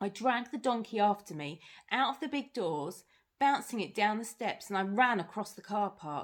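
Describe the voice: The reading aloud is plain, delivered with lively intonation.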